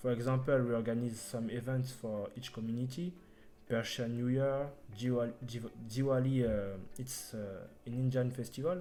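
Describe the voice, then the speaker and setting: In a room with audible echo, a man with a dark, mellow tone speaks at a medium pitch and a moderate pace, his intonation fairly even. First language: not English. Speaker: front-end developer. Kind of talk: interview. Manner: halting.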